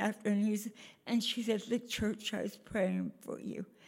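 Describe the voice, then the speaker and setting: A woman speaks somewhat breathily at a fairly slow pace. Her intonation is monotone and flat. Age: 90s. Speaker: church member. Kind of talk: testimony.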